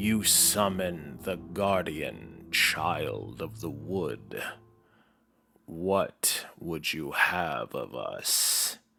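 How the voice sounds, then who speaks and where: A put-on character voice speaks at a very slow pace over faint music in the background. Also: man, very deep, low pitch for a man. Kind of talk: otherworldly spirit speech. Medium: actual play. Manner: solemn, speaks of itself as "we".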